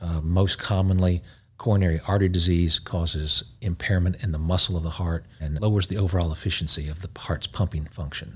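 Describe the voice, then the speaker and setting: In a Southern US accent, a man speaks with a very deep, low pitch. His voice is somewhat breathy, and his intonation stays fairly even. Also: fairly quick pace, very clean recording, silent background. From East Tennessee (Knoxville). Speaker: cardiologist. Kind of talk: interview. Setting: studio.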